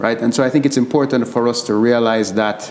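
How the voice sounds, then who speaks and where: Moderate-paced speech from a man with fairly even intonation, over noticeable background noise. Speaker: medical doctor and panelist. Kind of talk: panel discussion. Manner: halting, repeats words.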